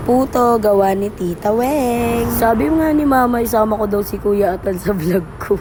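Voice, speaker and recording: A woman with a fairly high voice talks at very even loudness with hardly any pauses over noticeable background noise. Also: ordinary pitch variation, moderate pace. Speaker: vlogger and street food worker. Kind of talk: vlog voice-over narration. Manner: casual, chatty.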